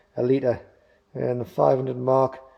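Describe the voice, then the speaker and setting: A man mumbles at a medium pitch. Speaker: motorcycle DIY youtuber. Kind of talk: tutorial. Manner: mumbling.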